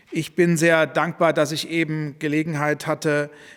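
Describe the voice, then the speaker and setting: At a fairly slow pace, a man with an unremarkable speaking voice talks at a fairly high pitch. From Germany. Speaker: politician. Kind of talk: press statement. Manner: formal.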